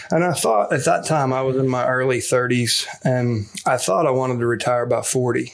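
Medium-pitched male speech against noticeable background noise. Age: 40s. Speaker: real estate investor and company CEO. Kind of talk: interview.

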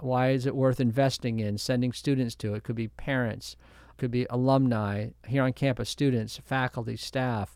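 On a very clean recording with a silent background, a man with an ordinary speaking voice speaks at a moderate pace, medium pitch and fairly even intonation. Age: 60s. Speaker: university president. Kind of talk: interview.

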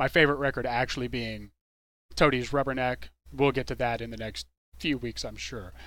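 This man talks at a fairly quick pace with an American accent, his medium-pitched voice bright and sharp with vocal fry. His intonation stays fairly even while his loudness swings widely, on a very clean recording with a silent background. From Texas, Dallas-Fort Worth. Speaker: radio DJ. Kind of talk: radio DJ patter between songs.

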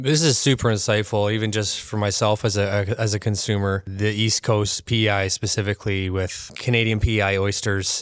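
A man with a plain, everyday voice speaks at a moderate pace with fairly low pitch, fairly even intonation and hardly any pauses. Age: 30s. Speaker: podcast host. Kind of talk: interview; scripted intro. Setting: expo venue.

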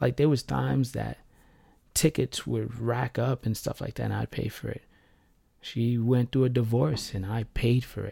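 A man's medium-pitched voice, somewhat breathy, with a dark, mellow tone and a dry, close sound free of echo. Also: ordinary pitch variation. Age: 30s. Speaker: podcaster telling personal story. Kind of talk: personal monologue. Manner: rambling, fast.

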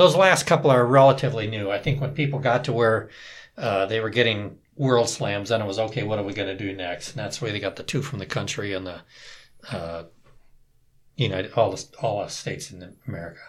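A man's somewhat breathy, medium-pitched voice with lively intonation at a fairly quick pace, in a very clean recording with a silent background. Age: 60s. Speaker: turkey hunter. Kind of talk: casual interview. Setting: studio.

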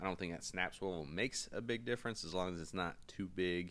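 Upbeat in tone, a man with a very deep, low pitch talks at a fairly quick pace on a very clean recording with a silent background. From North Carolina, US. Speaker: fishing podcast host. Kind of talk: casual solo podcast monologue. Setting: hotel room in Hawaii. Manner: casual, upbeat.

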